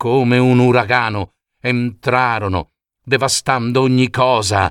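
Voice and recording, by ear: Slowly and at a medium pitch, a man speaks in a clear, smooth, fairly bright tone with fairly even intonation. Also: dry, close sound with no echo, very clean recording, silent background.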